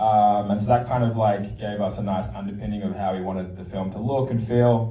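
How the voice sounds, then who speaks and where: A man with an Australian accent talks fairly quickly and fairly low, with hardly any pauses and monotone, flat intonation. Audible room echo and noticeable background noise surround him. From Australia, Sydney. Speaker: documentary film director. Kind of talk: post-screening Q&A. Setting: stage with audience at a film screening.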